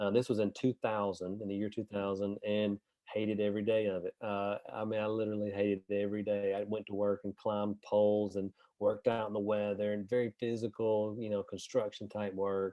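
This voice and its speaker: Monotone, flat intonation at a fairly quick pace, in a strong Southern US accent. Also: man, fairly low pitch for a man. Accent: deep Southern US. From US South, northern Alabama. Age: 40s. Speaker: real estate investor and agent. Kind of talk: interview.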